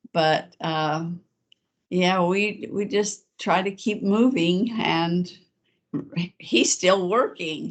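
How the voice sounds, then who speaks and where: A woman's medium-pitched voice at a very slow pace, with ordinary pitch variation and long, frequent pauses. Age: 70s. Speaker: former mission leader's wife. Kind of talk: casual chat. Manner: halting, many repetitions.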